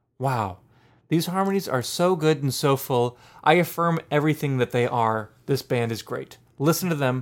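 An unremarkable speaking voice, a man with an American accent, fairly high pitch, ordinary pitch variation and a moderate pace, on a very clean recording with a silent background. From US, Pittsburgh. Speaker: podcast co-host, music and beer reviewer. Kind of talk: casual chat.

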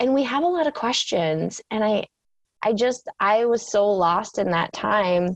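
A woman with an Upper Midwest accent speaks at a medium pitch and a fairly slow pace. Her intonation is lively, and the sound is dry and close with no echo. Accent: Upper Midwest American. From rural Minnesota. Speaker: spiritual coach. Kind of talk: interview.

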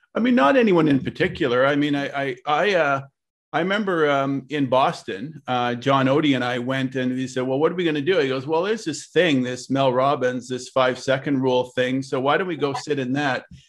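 A man in a normal speaking voice with a Canadian accent, fairly high pitch, ordinary pitch variation, a fairly quick pace and hardly any pauses, over a quiet background. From Canada, Ottawa. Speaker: real estate broker and association president. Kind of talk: interview.

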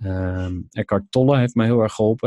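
A man speaks at a moderate pace. The sound is dry and close with no echo, over a quiet background. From Netherlands, Overijssel (Kampen/Zwolle). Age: 30s. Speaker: entrepreneur. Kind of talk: casual interview.

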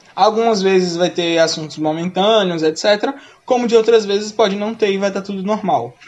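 Amid noticeable background noise, a man speaks at a moderate pace in a high pitch with ordinary variation. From Brazil, Sergipe. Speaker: podcast co-host, school English teacher. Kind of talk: casual chat.

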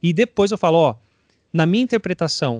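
In an ordinary speaking voice with ordinary pitch variation, a man talks at a fairly quick pace, the sound dry and close with no echo over a quiet background. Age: 30s. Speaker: drummer. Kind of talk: casual interview.

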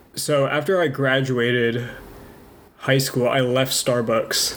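Over noticeable background noise, a man with a medium-pitched voice talks at a fairly slow pace with fairly even intonation. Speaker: podcast co-host. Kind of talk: casual chat. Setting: home kitchen. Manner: fluctuating volume.

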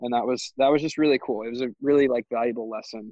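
A normal speaking voice from a man with an American accent, medium in pitch, with fairly even intonation. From California (Santa Cruz). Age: 20s. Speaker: former college swimmer. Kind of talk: casual interview.

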